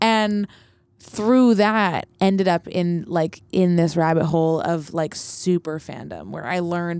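With a normal speaking voice, a woman with a Canadian accent and a fairly low pitch speaks at a fairly slow pace, showing ordinary pitch variation and big swings in loudness. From Canada, Vancouver and Montreal. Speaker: singer-songwriter. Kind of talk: casual chat. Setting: studio.

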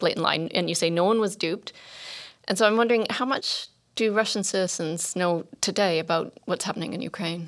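On a very clean recording with a silent background, a woman talks fairly quickly in an unremarkable speaking voice. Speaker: podcast host. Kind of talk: interview. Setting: studio.

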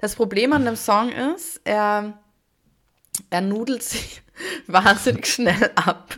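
A woman at a fairly high pitch and a very slow pace, with ordinary pitch variation and long, frequent pauses. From Austria. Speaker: podcast co-host. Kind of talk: casual chat.

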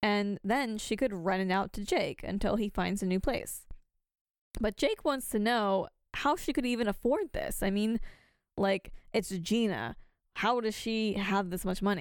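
On a very clean recording with a silent background, a woman with an ordinary speaking voice and a fairly high pitch talks at a fairly slow pace with ordinary pitch variation. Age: 20s. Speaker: podcast co-host. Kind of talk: casual chat.

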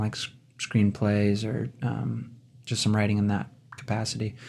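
Speaking at a moderate pace with an American accent, a man uses a plain, everyday voice at a fairly low pitch. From Wisconsin. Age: 30s. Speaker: musician and songwriter, guest host. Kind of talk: casual chat.

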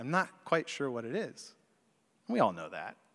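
A man with an American accent speaks in very wide pitch swings. The recording is very clean with a silent background. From US South. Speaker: pastor. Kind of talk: sermon. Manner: conversational with hesitations.

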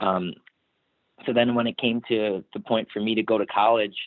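Here a man speaks at a fairly low pitch. His pace is moderate and his intonation fairly even. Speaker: brewery designer, tattoo artist and musician. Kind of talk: interview. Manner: laid back.

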